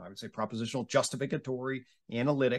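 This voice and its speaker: With an American accent, a man rattles off his words at a very fast pace. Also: quiet background. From US suburbs. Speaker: podcast host and academic psychologist; podcast host. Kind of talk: casual intellectual conversation. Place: home room. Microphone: webcam.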